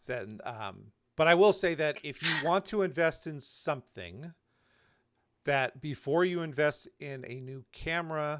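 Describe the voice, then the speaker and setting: Here is a man with an ordinary speaking voice, fairly high in pitch, with lively intonation and big swings in loudness. He talks at a fairly slow pace in a very clean recording with a silent background. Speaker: YouTube channel host. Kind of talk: live panel discussion.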